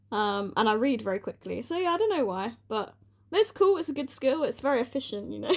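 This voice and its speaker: A woman talks fairly quickly in a high voice with a British accent. Her pitch swings very widely. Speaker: podcast co-host. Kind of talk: casual chat. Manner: fast.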